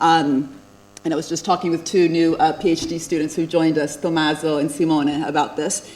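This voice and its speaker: In an American accent, a woman talks at a fairly quick pace with a very deep, low pitch and monotone, flat intonation. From USA (born in Italy, moved at age five). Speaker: economics professor. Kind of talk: lecture.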